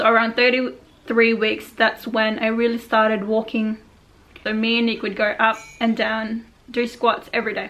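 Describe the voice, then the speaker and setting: A woman mumbles at a fairly high pitch in a monotone, flat intonation. Noticeable background noise runs underneath. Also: moderate pace. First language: not English. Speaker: vlogger. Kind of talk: personal story reading from notes. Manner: mumbling.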